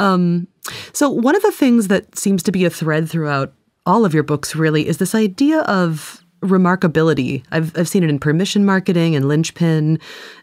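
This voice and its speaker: A woman with a plain, everyday voice speaks at a moderate pace, with ordinary pitch variation and very even loudness. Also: fairly low pitch for a woman. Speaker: podcast co-host and interviewer. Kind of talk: casual chat and interview. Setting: studio.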